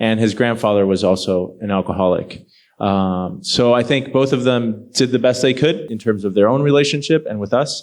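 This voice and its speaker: A man with a normal speaking voice talks at a moderate pace, medium in pitch, with ordinary pitch variation. He barely pauses, and the background is quiet. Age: 30s. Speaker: panel guest. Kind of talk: panel interview.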